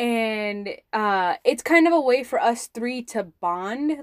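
A woman with an ordinary speaking voice, fairly high in pitch, talks with lively intonation on a very clean recording with a silent background, the sound dry and close with no echo. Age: 20s. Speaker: podcast host. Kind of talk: casual monologue. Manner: casual with many fillers.

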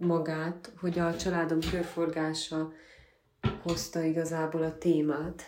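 A woman with a fairly low pitch speaks at a fairly slow pace and very even loudness. Noticeable background noise and audible room echo fill the recording. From Transylvania, Székely Land (Gyergyó region). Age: 20s. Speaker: photographer from a farming family. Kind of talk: interview.

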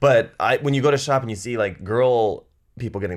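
The background is silent on this very clean recording. A man speaks very fast. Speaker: guest. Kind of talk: casual chat.

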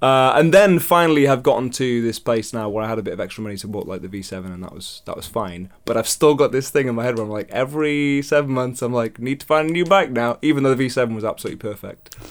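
At a very fast pace with hardly any pauses, a man speaks with lively intonation, a medium pitch, and big swings in loudness in a very clean recording with a silent background. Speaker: podcast host. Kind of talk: casual chat.

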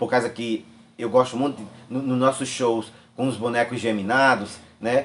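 A man speaks at a moderate pace with a medium pitch. His is a plain, everyday voice. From Quixeré, Ceará, Brazil. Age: 60s. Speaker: folk artist and hairdresser. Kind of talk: interview.

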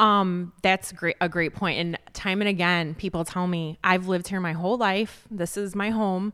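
A woman's bright, sharp voice with an American accent, flat monotone intonation, moderate pace and hardly any pauses, on a very clean recording with a silent background. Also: medium pitch for a woman. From Chicago southwest suburbs, Illinois. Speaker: magazine editor. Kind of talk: casual interview. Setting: recorded on location at a restaurant.

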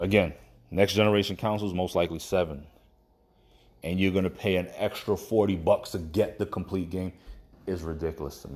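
A man with a very deep, low voice speaks with fairly even intonation. He moves at a fairly quick pace but takes long, frequent pauses. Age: 30s. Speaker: podcast host. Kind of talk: casual solo commentary. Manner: stuttering.

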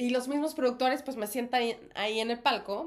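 Keeping a moderate pace and ordinary pitch variation, a woman talks in an unremarkable speaking voice. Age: 30s. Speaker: actress and podcast co-host. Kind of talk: casual chat.

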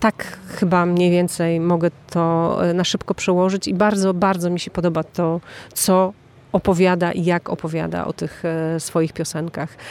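Her intonation monotone and flat, a woman talks at a moderate pace with a fairly low pitch. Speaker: podcast host and festival presenter. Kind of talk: interview with translation. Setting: at a music festival.

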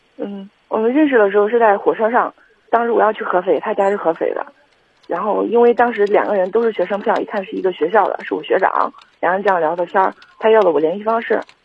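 At a very fast pace, a woman talks in a medium pitch with ordinary pitch variation. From Henan, China (Kaifeng). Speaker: caller. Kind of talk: call-in conversation. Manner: halting.

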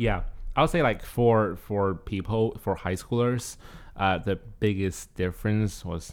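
With a Chinese accent, a man speaks at a fairly low pitch and a fairly slow pace. His intonation stays fairly even. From China. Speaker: graduate student. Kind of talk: casual chat.

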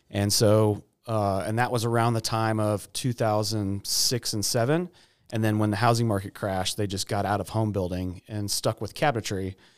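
Using an ordinary speaking voice, a man with an American accent talks at a moderate pace. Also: fairly low pitch for a man, fairly even intonation, very clean recording, silent background. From Texas. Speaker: cabinet company owner. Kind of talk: interview. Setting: studio.

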